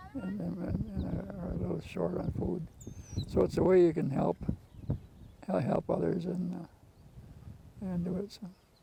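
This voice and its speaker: Noticeable noise sits behind a man who talks at a moderate tempo. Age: 80s+. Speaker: produce farmer, gardener. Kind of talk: interview answer.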